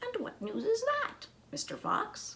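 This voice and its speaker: In a put-on character voice, a woman squeaks at an extremely high pitch. She speaks at a fairly slow pace. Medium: read story. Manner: proud, composed.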